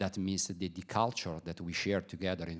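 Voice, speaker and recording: In a very clean recording with a silent background, a man with an Italian accent speaks in a very deep, low voice. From Italy. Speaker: business executive. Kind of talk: welcome speech. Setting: stage with audience. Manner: hesitant, many fillers.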